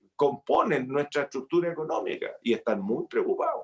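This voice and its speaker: A man speaks at a moderate pace. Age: 60s. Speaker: senator. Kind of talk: interview.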